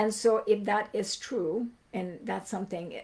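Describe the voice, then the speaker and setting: Dark and mellow in tone, a woman's voice comes across as somewhat breathy. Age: 60s. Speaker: migraine educator answering group questions. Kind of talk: live Q&A stream. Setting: livestream. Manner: conversational, with many fillers.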